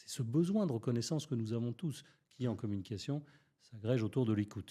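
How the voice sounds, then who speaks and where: This man's dark, mellow tone is somewhat breathy, and his intonation is lively. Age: 60s. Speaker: public speaking coach. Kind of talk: podcast interview.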